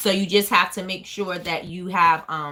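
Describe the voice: A woman's fairly low pitch, fairly even intonation and a bright, sharp tone.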